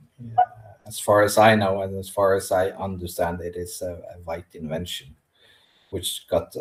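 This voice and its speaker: A somewhat breathy man's voice at a moderate pace. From Norway (Sámi region). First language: Norwegian or Sámi. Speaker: Sámi spiritual practitioner. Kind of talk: interview. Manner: halting.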